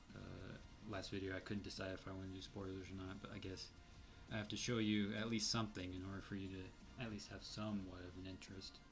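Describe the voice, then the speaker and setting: Over music in the background and with audible room echo, a man talks very fast in a very deep, low pitch with monotone, flat intonation. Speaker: indie game developer. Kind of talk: let's play commentary. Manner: hesitant, many fillers.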